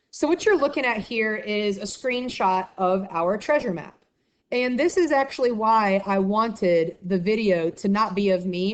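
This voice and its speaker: A medium-pitched woman with an American accent, at a moderate pace with lively intonation. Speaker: middle school math teacher. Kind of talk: presentation to parents, screen-share walkthrough. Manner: friendly, conversational.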